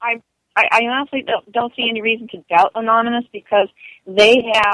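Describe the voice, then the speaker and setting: Her voice is an ordinary speaking voice, a woman's at a fairly high pitch. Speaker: advocate against online abuse. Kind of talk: casual interview.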